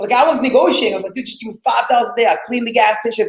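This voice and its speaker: Speaking with an Arabic accent in an extremely high pitch, a man sounds animated, with ordinary pitch variation. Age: 20s. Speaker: real estate investor. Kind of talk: interview storytelling.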